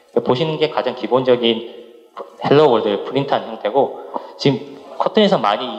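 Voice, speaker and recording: A man's fairly high-pitched voice, with ordinary pitch variation, moves at a fairly quick pace amid audible room echo and noticeable background noise. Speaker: software developer, conference speaker. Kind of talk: technical conference talk. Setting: conference stage with audience. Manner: fast; halting, many restarts.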